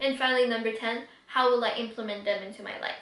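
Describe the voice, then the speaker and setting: The woman's voice is fairly high-pitched and flat in a monotone way. There is noticeable background noise. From Quebec City, Canada. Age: 20s. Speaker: YouTuber, book reviewer. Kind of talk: casual talk to camera.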